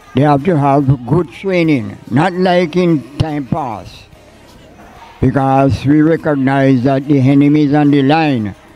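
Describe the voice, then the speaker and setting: In a Jamaican accent, a man speaks at a fairly slow pace with very even loudness. The sound is dry with no echo, and faint music plays in the background. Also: fairly high pitch for a man, ordinary pitch variation. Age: 80s+. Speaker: church elder. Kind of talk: interview answer. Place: church. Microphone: handheld.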